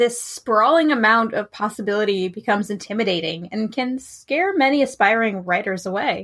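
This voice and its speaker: A woman with a fairly high pitch uses an ordinary speaking voice with ordinary pitch variation. She keeps a moderate pace with hardly any pauses. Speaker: fantasy and romance writer. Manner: encouraging, reassuring, lightly humorous.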